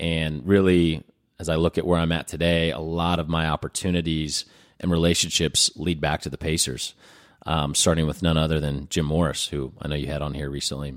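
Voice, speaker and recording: Very deep and low in pitch, a man with a Midwestern American accent speaks in a monotone, flat intonation. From Indianapolis, Indiana. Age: 30s. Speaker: nonprofit leader. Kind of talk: interview.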